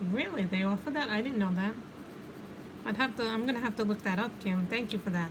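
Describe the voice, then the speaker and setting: Talking very fast with an American accent, a woman keeps her loudness very even at a fairly high pitch over noticeable background noise. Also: ordinary pitch variation. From New York. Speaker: livestreamer doing adult coloring. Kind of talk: casual chat. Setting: livestream. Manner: chatty, conversational.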